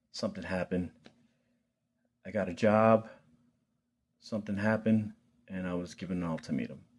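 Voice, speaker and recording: A man with a Philadelphia accent, fairly low in pitch, fairly even in intonation, with long, frequent pauses. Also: fairly quick pace. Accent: Philadelphia American English. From Philadelphia, US Northeast. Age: 40s. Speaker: vlogger. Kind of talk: personal vlog testimony. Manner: casual, halting with fillers.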